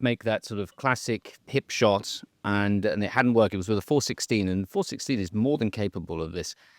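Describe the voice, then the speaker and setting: With an English accent, a man with a fairly low voice speaks at a very fast pace in a dry, close sound with no echo. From England. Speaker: managing director of a gunmaker, podcast host. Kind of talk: casual interview chat. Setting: on safari in the bush.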